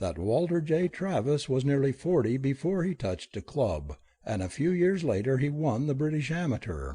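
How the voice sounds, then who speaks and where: A man's put-on character voice, shaky and fairly high, with lively intonation at a moderate pace. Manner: solemn, emotional, earnest.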